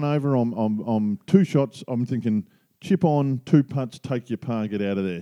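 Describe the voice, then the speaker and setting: With an Australian accent, a man speaks at a moderate pace in a medium-pitched, dark, mellow voice with lively intonation, the sound dry and close with no echo. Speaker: podcast co-host, amateur golfer. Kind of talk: casual chat.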